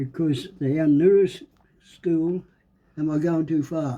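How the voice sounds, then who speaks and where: A man with a strong Australian accent speaks at a fairly slow pace, his fairly high voice carrying a dark, mellow tone. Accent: broad Australian. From Australia, rural Victoria. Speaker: great-grandfather interviewee. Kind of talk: casual interview.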